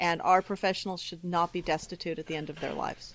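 Over a very clean recording with a silent background, a woman has a normal speaking voice. Her medium pitch stays in fairly even intonation. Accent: American. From California. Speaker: horse show manager and judge. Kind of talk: interview.

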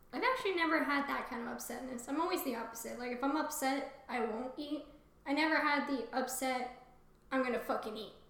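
Talking at a fairly quick pace, a woman keeps her high voice fairly even despite noticeable background noise. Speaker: podcast co-host. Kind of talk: casual chat, reading fiction aloud.

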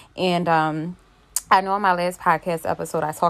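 Monotone, flat intonation from a woman at a fairly quick pace. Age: 30s. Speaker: podcast host. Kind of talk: casual monologue. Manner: casual, filler-heavy.

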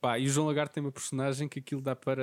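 A man is heard with a dry, close sound and no echo, on a very clean recording with a silent background. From Portugal, Covilhã area (Beira Interior). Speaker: podcast host. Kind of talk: casual chat.

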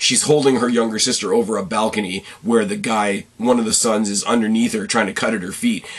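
Over noticeable background noise, a man talks at a fairly quick pace in a medium pitch, with fairly even intonation and hardly any pauses. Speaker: movie review podcaster. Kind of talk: solo movie review. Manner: fast, rambling.

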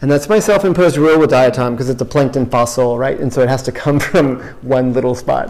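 Over noticeable background noise, a man with a medium pitch talks very fast with hardly any pauses and ordinary pitch variation. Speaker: winemaker. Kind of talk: interview during wine tasting. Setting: tasting room.

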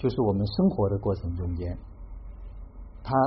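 The speaker is a man with a somewhat breathy voice. He talks at a fairly quick pace. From Hubei, Xiangyang. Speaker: tea gathering host. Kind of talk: reflective talk.

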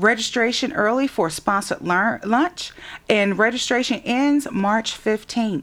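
A normal speaking voice with an American accent uses lively intonation at a fairly slow pace. The loudness stays very even throughout. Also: woman, fairly high pitch for a woman. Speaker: radio host. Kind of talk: radio interview.

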